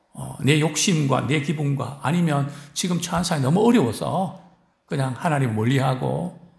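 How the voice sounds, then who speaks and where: In a room with audible echo, a man with a fairly high pitch talks at a fairly slow pace with lively intonation. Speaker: pastor. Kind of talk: sermon. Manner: frequent fillers and rhetorical questions.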